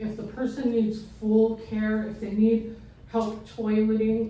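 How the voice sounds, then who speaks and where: Over noticeable background noise and audible room echo, a woman talks at a moderate pace in a fairly high pitch. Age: 60s. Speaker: senior living placement consultant. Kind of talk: informative presentation.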